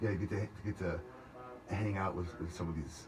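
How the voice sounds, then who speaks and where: This man speaks fairly quickly in a somewhat breathy voice. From Louisiana. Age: 40s. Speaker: singer-songwriter. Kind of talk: radio interview. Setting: radio studio. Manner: halting, many repeats and fillers.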